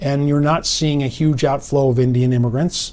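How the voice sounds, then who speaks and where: Speaking at a moderate pace, a man has a fairly high pitch and an ordinary speaking voice. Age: 60s. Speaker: political analyst. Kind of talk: interview.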